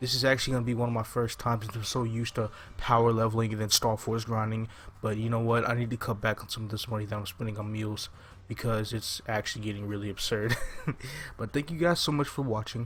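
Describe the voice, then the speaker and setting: A man's very fast speech at a medium pitch with fairly even intonation. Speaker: gaming YouTuber. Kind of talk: gameplay commentary. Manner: quiet, subdued; casual, hesitant with fillers.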